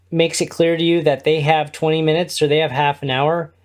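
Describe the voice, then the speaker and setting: The recording is very clean with a silent background, carrying a man's fairly high pitch and American accent. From US Midwest, Indiana (Kokomo). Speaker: podcast network co-founder and podcast host. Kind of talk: interview. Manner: loud.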